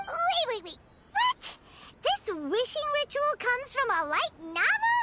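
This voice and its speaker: The speaker uses a put-on character voice at an extremely high pitch and a moderate pace. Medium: video game.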